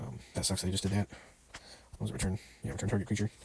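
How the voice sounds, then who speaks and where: Soft-spoken and somewhat breathy, a man talks at a very fast pace with a fairly low pitch and a dark, mellow tone. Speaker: gaming podcaster. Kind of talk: gameplay commentary. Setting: indoors at night, others asleep. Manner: soft-spoken, talking quietly; casual, hesitant.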